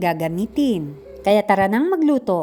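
With very wide pitch swings, a woman speaks in a dark, mellow tone. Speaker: cooking YouTuber. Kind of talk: cooking tutorial. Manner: polite, upbeat.

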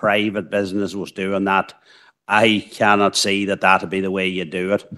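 A man's low voice with a fairly bright tone and little pitch movement

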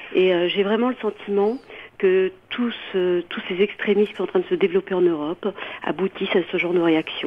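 A woman with a medium pitch speaks at a moderate pace, her intonation fairly even and her loudness very even. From France. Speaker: radio caller. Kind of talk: call-in opinion. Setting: phone call. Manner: halting.

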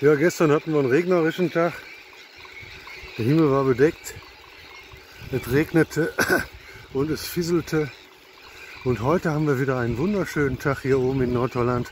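A man talks at a moderate pace with ordinary pitch variation. His long pauses come often, over light background noise. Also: dry sound with no echo. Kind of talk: casual vlog commentary. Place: bicycle. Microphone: phone near.

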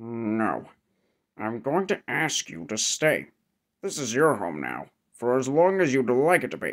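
A man's medium-pitched voice moves at a fairly slow pace with long, frequent pauses. His pitch swings very widely. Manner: gruff, blunt.

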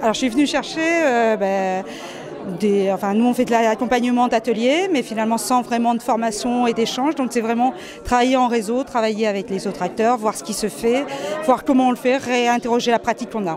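Talking at a fairly quick pace, a woman with a fairly high pitch and ordinary pitch variation is heard over noticeable background noise. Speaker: university pedagogy support director. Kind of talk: interview, casual professional chat. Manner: hesitant, many fillers. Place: hall. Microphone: handheld.

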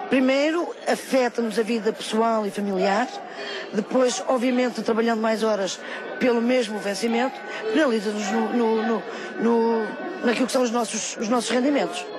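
With crowd noise in the background, a woman speaks at a moderate pace and fairly high pitch with ordinary pitch variation, in a dry sound with no echo. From Portugal, Bombarral (Oeste region); Portugal. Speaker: municipal tourism office worker at a protest. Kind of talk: street interview. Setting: outdoors at a street protest. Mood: earnest complaint. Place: street.

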